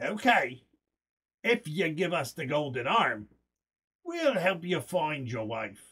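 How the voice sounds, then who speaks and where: A put-on character voice at a middle pitch, fairly slow, with long and frequent pauses. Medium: read story.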